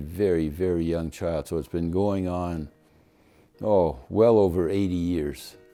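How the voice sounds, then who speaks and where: Over music in the background, a man with a very deep, low pitch speaks at a fairly slow pace with fairly even intonation. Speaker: grandfather. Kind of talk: casual talk to camera.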